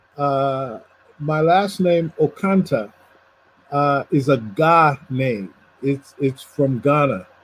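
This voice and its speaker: A somewhat breathy man with a fairly high pitch and an American accent, at a very slow pace with long, frequent pauses and lively intonation. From US Northeast. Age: 60s. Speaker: professor and poet. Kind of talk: conversational discussion. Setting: video call.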